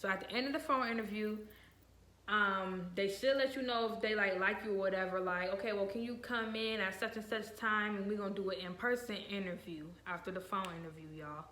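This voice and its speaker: A woman with an American accent and a normal speaking voice, medium in pitch with ordinary pitch variation, at a fairly quick pace. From Virginia and Ohio. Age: young. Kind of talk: casual talk to camera.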